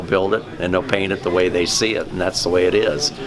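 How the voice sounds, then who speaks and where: A man with a very deep, low pitch and a Midwestern US accent, talking at a very fast pace over noticeable background noise. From Indiana. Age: 70s. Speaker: toy tractor collector. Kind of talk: interview.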